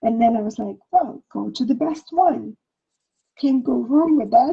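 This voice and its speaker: A woman with a high pitch speaks at a fairly slow pace. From Ukraine (Soviet Union). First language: Russian or Ukrainian. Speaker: past life regression healer. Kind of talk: interview conversation.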